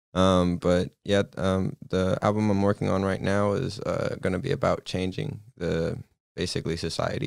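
A man speaks in a normal speaking voice, fairly low in pitch, at a moderate pace with ordinary pitch variation. The sound is dry and close with no echo, in a very clean recording with a silent background. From Austin, Texas area. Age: 20s. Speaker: musician and producer. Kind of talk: casual interview chat.

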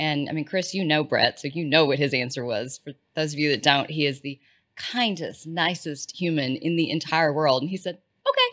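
In a Texan accent, a woman talks with a very deep, low pitch at a moderate pace. The recording is very clean, with a silent background. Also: ordinary pitch variation. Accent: Texan (US Southern). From East Texas. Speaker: healthcare strategy consultant. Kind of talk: casual interview chat.

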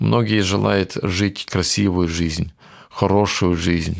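A man talks at a very slow pace in a very deep, low pitch. His voice carries vocal fry and ordinary pitch variation. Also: very clean recording, silent background. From Kyrgyzstan (Soviet era), village; raised in Germany from age 9. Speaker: missionary. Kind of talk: testimony. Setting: studio. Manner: halting.

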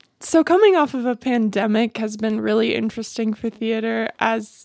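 In an ordinary speaking voice, a woman with an American accent speaks at a moderate pace in a fairly high pitch. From US South, Greenville, South Carolina. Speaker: college theater actor and dancer. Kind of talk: radio interview.

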